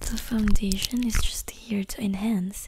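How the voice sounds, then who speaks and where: A woman whispers, soft-spoken, at a fairly slow pace. The sound is dry with no echo, though noticeable background noise is present. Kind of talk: soft-spoken ASMR roleplay. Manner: soft, close ASMR whisper.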